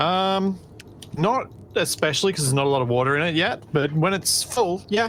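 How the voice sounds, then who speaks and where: Speaking with an Australian accent, a woman with a fairly low pitch keeps a moderate pace, very even loudness, and lively intonation. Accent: Australian, increasing. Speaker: video game streamer. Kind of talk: casual chat.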